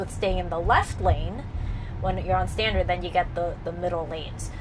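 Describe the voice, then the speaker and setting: A woman talks at a fairly quick pace with music in the background. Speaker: channel host. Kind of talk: casual explanatory chat. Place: car.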